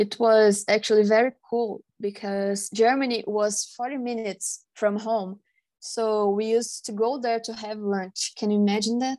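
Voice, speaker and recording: Speaking with hardly any pauses, the voice has a dark, mellow tone and monotone, flat intonation against a quiet background. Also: woman, fairly high pitch for a woman, moderate pace. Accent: Portuguese. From Brazil. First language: Portuguese. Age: 20s. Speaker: podcast guest. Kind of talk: casual interview.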